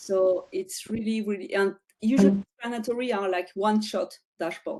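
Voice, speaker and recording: In a non-native accent, a woman with a fairly high pitch speaks at a moderate pace with ordinary pitch variation and a dark, mellow tone against a quiet background. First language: not English. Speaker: data visualization expert. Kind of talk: webinar Q&A; discussion explanation. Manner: halting. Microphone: video call.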